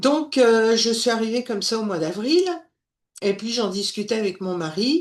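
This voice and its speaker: A woman speaks at a fairly slow pace, her fairly high voice rising and falling in very wide pitch swings. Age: 60s. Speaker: former industry manager, course student. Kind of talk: testimonial. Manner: hesitant, many fillers.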